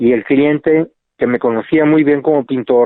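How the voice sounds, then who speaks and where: The speaker is a man. His pitch sits in the medium range. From Mexico, Sonora (Nogales). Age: 70s. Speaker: painter and architect. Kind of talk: interview. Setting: podcast. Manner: halting, many repetitions.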